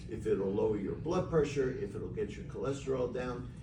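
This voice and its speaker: Over noticeable background noise and audible room echo, a man with medium pitch speaks with lively intonation. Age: 70s. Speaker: physician promoting supplement business. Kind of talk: sales pitch. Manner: halting.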